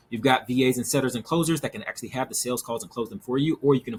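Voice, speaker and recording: This man speaks very fast. There is a somewhat breathy quality to his voice. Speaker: business consultant and agency owner. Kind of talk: tutorial.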